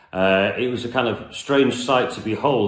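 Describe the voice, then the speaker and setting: A man speaks with audible room echo. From northern England, Merseyside (Southport near Liverpool). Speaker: singer-songwriter. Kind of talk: casual storytelling introduction to a song. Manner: hesitant, many fillers.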